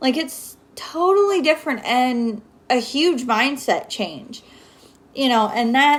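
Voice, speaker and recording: A woman talks at a high pitch with lively intonation. Her pace is very slow. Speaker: network marketer giving motivational talk. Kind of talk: livestream motivational talk. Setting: home livestream.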